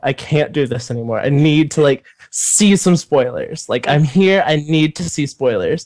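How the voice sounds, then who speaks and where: A man speaks at a moderate pace in an unremarkable speaking voice, his pitch fairly high. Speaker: YouTuber. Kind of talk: casual chat.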